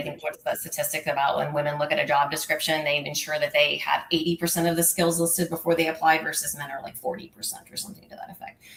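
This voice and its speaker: Noticeable background noise sits behind this voice. A woman speaks at a fairly low pitch. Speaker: nonprofit finance executive. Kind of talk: interview. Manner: fast.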